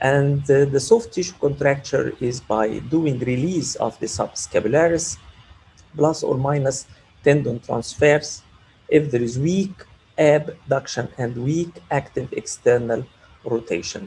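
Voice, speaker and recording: Somewhat breathy and dark, mellow in tone, the man speaks at a fairly slow pace. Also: ordinary pitch variation. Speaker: orthopaedic surgeon. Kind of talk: lecture.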